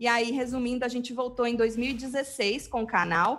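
In a São Paulo interior accent, a woman speaks at a high pitch. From São Paulo state, Brazil (interior). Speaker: web TV presenter. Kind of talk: casual chat.

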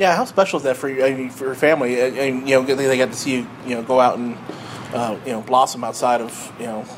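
The speech moves at a very fast pace with fairly even intonation. Noticeable background noise is present. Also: man, medium pitch for a man. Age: 40s. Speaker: podcast host. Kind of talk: casual interview.

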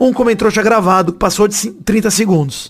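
A man with a high voice talks amid noticeable background noise, his pitch shifting in a typical way. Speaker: football podcast host. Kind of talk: casual chat. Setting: live stream.

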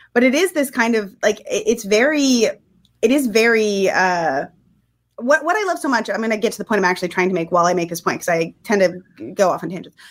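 The recording is very clean, with a silent background. A woman speaks fairly quickly in a fairly high voice that makes very wide pitch swings. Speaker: film critic. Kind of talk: film discussion.

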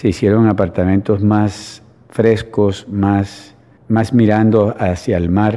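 Against a quiet background, a man with a fairly low, dark, mellow voice talks at a very slow pace in a monotone, flat intonation. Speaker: real estate developer. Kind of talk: radio interview. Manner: halting, with frequent false starts.

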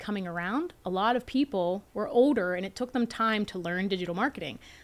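Very fast pace with ordinary pitch variation. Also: woman. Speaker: entrepreneur and investor. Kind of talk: interview.

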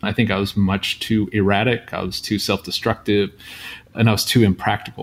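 A man with a normal speaking voice and a fairly low pitch keeps a moderate pace and fairly even intonation. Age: 40s. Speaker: screenwriter and poet. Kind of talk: interview conversation.

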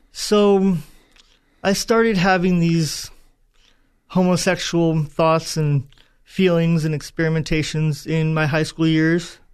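A man with an American accent speaks very slowly at a high pitch, with long, frequent pauses, fairly even intonation and very even loudness. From Southern California. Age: 30s. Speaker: guest sharing faith testimony. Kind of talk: testimony. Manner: halting.

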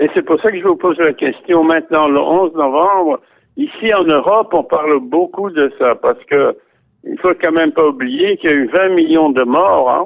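With ordinary pitch variation, the man speaks at a high pitch. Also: moderate pace. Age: 80s+. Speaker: Holocaust survivor. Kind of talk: interview. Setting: phone call.

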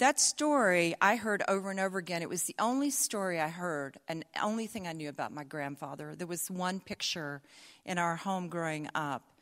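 A woman with a fairly low pitch and a slight Southern US accent speaks with lively intonation on a very clean recording with a silent background. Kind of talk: live storytelling. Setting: stage with audience.

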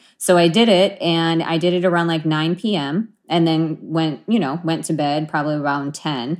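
With an ordinary speaking voice, a woman talks at a moderate pace and a fairly low pitch. Her pitch varies in an ordinary way, and she hardly pauses. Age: 40s. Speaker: patient. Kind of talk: personal testimony in interview.

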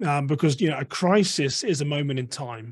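Here a man with an English accent speaks at a fairly high pitch, his voice somewhat breathy. His pitch varies in an ordinary way, and the background is quiet. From England. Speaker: security and de-escalation consultant. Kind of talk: interview.

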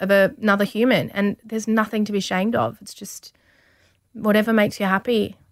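Speaking at a fairly quick pace with an Australian accent, a woman lets her loudness swing widely. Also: very clean recording, silent background. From Australia, rural Victoria. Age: 30s. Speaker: model and TV presenter. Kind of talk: interview.

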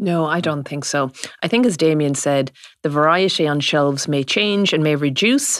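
A woman speaks in an Irish accent at a very deep, low pitch. Her pace is moderate and her pitch varies in an ordinary way. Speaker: farming journalist. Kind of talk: radio-style panel discussion.

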